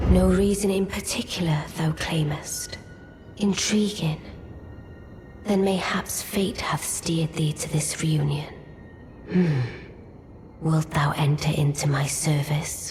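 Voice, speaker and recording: A put-on character voice at a middle pitch. It moves at a fairly slow pace, with long, frequent pauses. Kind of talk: archaic courtly English. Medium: video game. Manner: cool, measured, aloof.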